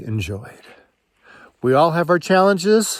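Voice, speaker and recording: This man speaks at a fairly high pitch. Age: 60s. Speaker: marriage and family therapist. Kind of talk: reflective personal talk to camera. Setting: outdoors, walking in mountains.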